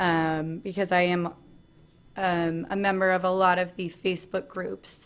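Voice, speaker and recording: A woman talks in a plain, everyday voice. Her pitch is medium and her pace moderate. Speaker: conference presenter and video blogger. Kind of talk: presentation with Q&A.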